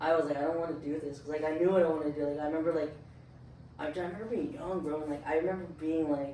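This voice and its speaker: Amid noticeable background noise and audible room echo, a man speaks at a very fast pace with a fairly high pitch and monotone, flat intonation. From Southern California, Orange County (Anaheim). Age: 20s. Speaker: studio owner and clothing brand founder. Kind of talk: casual chat. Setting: in-person recording at a studio. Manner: casual, filler-heavy.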